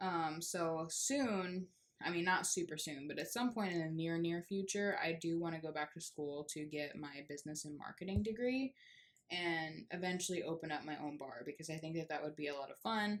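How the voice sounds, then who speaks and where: In an American accent, a woman with an unremarkable speaking voice talks at a moderate pace, her fairly low pitch showing ordinary variation. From Texas, US South. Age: 20s. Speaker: crochet vlogger. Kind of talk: casual chat. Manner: casual, many fillers (um, like).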